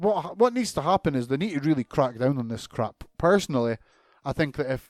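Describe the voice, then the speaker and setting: Recorded very cleanly against a silent background, with a dry, close sound and no echo, a man with a Scottish accent speaks at a moderate pace in an animated tone with lively intonation. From Scotland. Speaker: podcast host. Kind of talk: casual rant. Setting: home recording.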